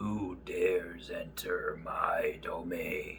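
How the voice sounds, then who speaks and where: A put-on character voice delivers its lines at a very slow pace over clear background noise. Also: man. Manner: eerie, menacing.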